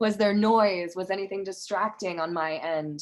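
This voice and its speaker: With an American accent, a woman talks at a moderate pace and with fairly even intonation. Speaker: yoga teacher. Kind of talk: casual chat. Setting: video call.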